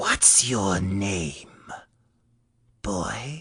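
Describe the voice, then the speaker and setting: A man does a quiet, raspy, put-on character voice pitched fairly low. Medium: read story. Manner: mocking, falsely gentle.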